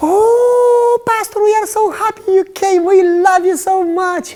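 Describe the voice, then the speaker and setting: This put-on character voice is squeaky and extremely high, with a warm tone. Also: fairly slow pace. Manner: gushing, warm.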